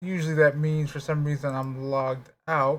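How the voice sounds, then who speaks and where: A man with a fairly high pitch speaks at a fairly slow pace in a flat monotone, his voice somewhat breathy. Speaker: video game streamer. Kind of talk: live stream chat.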